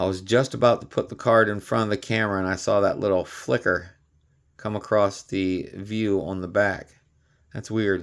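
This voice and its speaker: Over a silent background in a very clean recording, a man talks at a moderate pace with fairly even intonation. He has a plain, everyday voice, fairly low in pitch. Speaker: card collecting youtuber. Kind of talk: casual unboxing video. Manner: casual, conversational with fillers.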